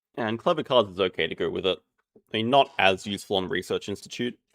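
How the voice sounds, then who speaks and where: Speaking at a very fast pace, a man talks in an Australian accent. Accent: lazy Australian. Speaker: game caster. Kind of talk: live commentary.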